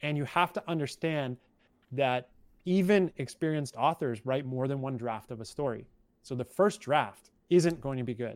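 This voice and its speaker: In a very clean recording with a silent background, a man speaks at a moderate pace in a fairly high pitch with ordinary pitch variation. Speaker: podcast co-host and new father. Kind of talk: casual chat podcast. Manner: articulate, calm.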